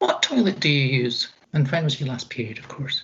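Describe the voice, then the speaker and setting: Speech at a moderate pace comes with a Dorset accent. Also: woman. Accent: Dorset-tinged English. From Scotland. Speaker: equality and inclusion advisor. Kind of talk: presentation.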